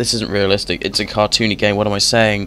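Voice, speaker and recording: Music sits in the background as a man speaks at a fairly low pitch. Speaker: video game reviewer. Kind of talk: gameplay commentary. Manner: casual, hesitant with fillers.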